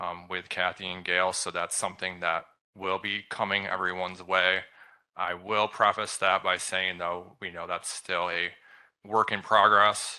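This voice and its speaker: Against a quiet background, a man speaks at a fairly slow pace in a very deep, low pitch. His tone is bright and sharp, his intonation monotone and flat. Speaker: state program coordinator. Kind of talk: meeting presentation. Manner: halting.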